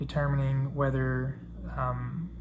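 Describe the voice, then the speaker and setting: Male speech with music playing behind it and an audible echo from the room. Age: 30s. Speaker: student. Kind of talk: class presentation. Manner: hesitant, with fillers.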